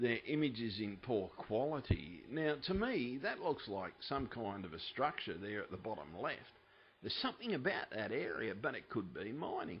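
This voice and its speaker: A man talks with very wide pitch swings. Vocal fry runs through his voice. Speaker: UFO video commentator. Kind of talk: casual commentary over images. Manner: yells at times; softer than usual.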